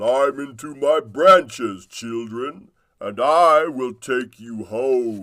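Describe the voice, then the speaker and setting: A man does a put-on character voice at medium pitch. He speaks at a very slow pace. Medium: read story. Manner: warm, joyful.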